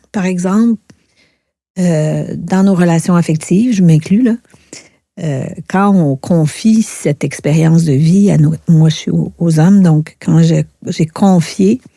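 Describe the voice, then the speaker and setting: A woman's fairly low, somewhat breathy voice with a dark, mellow tone, very slow pace, long, frequent pauses and ordinary pitch variation. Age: 60s. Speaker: author, speaker and therapist. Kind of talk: podcast interview, personal testimony. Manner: hesitant, many fillers.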